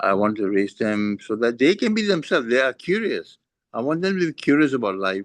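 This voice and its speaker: The background is quiet as a man delivers lively intonation at a moderate pace. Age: 60s. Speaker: parent sharing experience. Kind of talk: casual chat. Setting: video call. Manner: halting.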